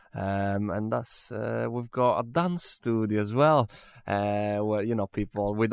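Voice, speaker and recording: Fairly low in pitch, a man with an Italian accent talks at a moderate pace with fairly even intonation, in a dry, close sound with no echo on a very clean recording with a silent background. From Italy, Venice. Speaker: musician and studio manager. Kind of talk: interview. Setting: recording studio. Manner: halting, many fillers.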